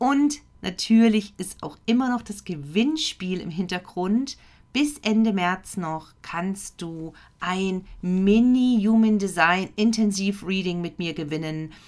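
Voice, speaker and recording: A woman speaks at a very slow pace and medium pitch, her tone calm and soothing. Her intonation is lively. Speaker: podcast host and meditation guide. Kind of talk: guided meditation with affirmations, spoken twice. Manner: calm, slow, soothing and gentle with pauses; warm, intimate, direct address to the listener.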